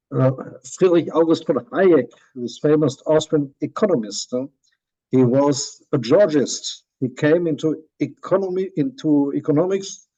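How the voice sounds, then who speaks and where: Fairly high-pitched man with a German accent, a dark, mellow tone and a fairly slow pace. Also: ordinary pitch variation. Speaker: professor. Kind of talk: lecture. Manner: halting.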